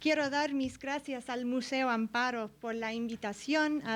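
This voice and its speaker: A woman speaks with an English accent at a fairly high pitch and fairly even intonation. The recording is very clean with a silent background. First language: English (speaking Spanish). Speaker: art history professor. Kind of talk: lecture. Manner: halting, many fillers.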